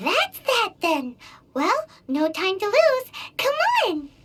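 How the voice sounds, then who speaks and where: Put-on and squeaky, this character voice moves at a very slow pace with extremely high pitch and very wide pitch swings over background music. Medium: video game. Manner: upbeat, brisk.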